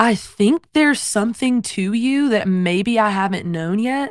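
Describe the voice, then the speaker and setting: Woman with a slight Southern US accent, fairly high pitch and ordinary pitch variation, on a very clean recording with a silent background. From US South, South Carolina. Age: 20s. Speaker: worship singer. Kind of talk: casual interview.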